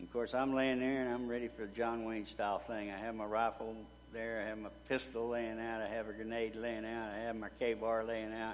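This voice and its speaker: Speaking at a fairly quick pace, a man with an East Texas accent has a medium pitch and monotone, flat intonation. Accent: East Texas Southern. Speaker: war veteran. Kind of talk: testimony. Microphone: too quiet.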